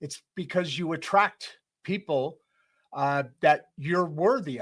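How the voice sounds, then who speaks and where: A man's fairly high voice with a US Midwestern accent, very slow, with ordinary pitch variation and big swings in loudness. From US Midwest, Detroit. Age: 60s. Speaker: podcast host. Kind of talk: casual interview chat.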